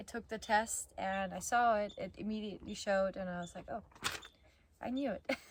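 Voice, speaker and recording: A woman of medium pitch speaks at a moderate pace, somewhat breathy, with fairly even intonation. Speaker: vlogger. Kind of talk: personal vlog recap. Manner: casual, with fillers.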